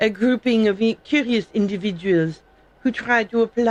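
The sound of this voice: This is an unforced reading voice. It is the only trait given.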